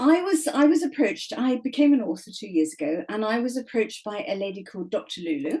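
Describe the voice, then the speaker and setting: In an English accent, a woman speaks at a fairly quick pace with a fairly high pitch. Her voice makes very wide pitch swings. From England. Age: 70s. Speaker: author. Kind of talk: podcast interview.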